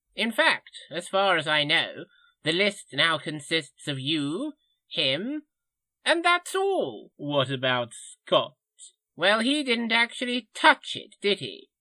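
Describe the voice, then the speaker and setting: A man speaks in a put-on character voice, high-pitched and at a fairly slow pace. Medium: audio drama. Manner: rambling, avuncular.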